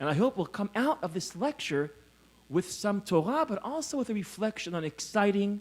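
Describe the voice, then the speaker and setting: An American accent at a moderate pace, with very wide pitch swings. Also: man, high pitch for a man. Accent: faked American accent over Israeli. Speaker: scholar and lecturer. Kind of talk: lecture. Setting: conference hall with audience.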